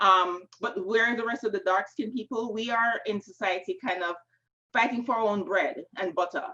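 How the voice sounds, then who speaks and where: A woman with a strong Jamaican accent talks at a fairly quick pace and a fairly high pitch, with a dry, close sound and no echo. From Jamaica, Kingston. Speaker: novelist. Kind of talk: panel discussion. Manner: casual, many fillers.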